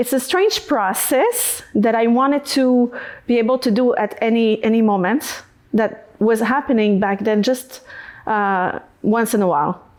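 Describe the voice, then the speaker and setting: Speaking fairly slowly with a French accent, a woman has a fairly high voice, ordinary pitch variation and very even loudness. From Quebec, Canada. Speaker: singer-songwriter. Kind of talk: podcast interview. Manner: halting, searching for words.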